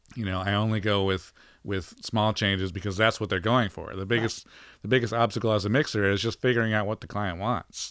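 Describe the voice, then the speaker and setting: In a very clean recording with a silent background, a man with an American accent talks at a fairly quick pace, his fairly low pitch and fairly even intonation marking a normal speaking voice. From Colorado. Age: 40s. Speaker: mix engineer. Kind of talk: casual chat.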